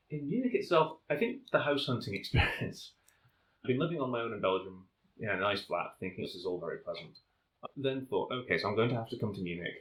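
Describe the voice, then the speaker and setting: A man with a Northern English accent at a very fast pace. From North of England. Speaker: volcanologist. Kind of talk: interview answer.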